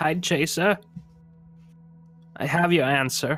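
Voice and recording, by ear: A man's squeaky, put-on character voice at a fairly high pitch, fairly slow with fairly even intonation, and faint music in the background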